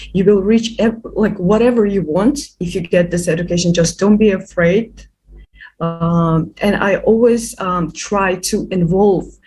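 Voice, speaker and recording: Music plays in the background as a woman speaks at a fairly slow pace. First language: not English. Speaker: youth activist. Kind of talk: interview. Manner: halting, many repetitions and fillers.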